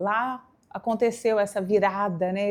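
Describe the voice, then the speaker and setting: This is a woman's voice. She speaks with a mineiro accent. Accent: mineiro accent, keeps it. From Brazil, Minas Gerais (São Gotardo, interior). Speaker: fashion communicator, stylist. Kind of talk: interview, personal storytelling.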